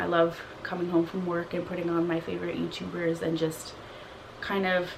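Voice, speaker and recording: Soft-spoken and at a moderate pace, a woman talks amid noticeable background noise and audible room echo. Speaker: beauty and lifestyle vlogger. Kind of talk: casual chat.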